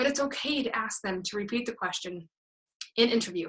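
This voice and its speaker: A woman talks at a very fast pace in a fairly high pitch. Her tone is bright and sharp. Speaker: pageant interview coach. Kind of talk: online coaching session.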